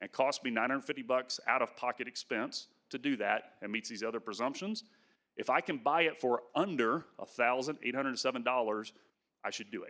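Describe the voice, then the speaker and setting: His tone is bright and sharp. The man talks at a fairly quick pace. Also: medium pitch for a man, ordinary pitch variation. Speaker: agricultural economics professor. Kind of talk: conference presentation. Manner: fast.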